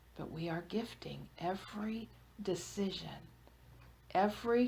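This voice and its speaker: Very slow in pace, a woman speaks in a soothing tone with ordinary pitch variation. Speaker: hypnotherapist. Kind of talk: group hypnosis trance session. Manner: slow, soothing.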